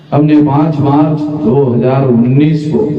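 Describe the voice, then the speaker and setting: A man is speaking. There is noticeable background noise and audible room echo. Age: 60s. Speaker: national president of a social organization, public speaker. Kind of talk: political speech to an audience. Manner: repetitive, emphatic.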